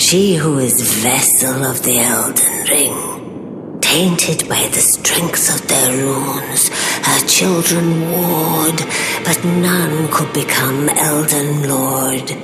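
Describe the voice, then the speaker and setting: In a cartoonish character voice at a low-to-middle pitch, the speaker goes at a very slow pace over loud background noise. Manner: measured, cryptic.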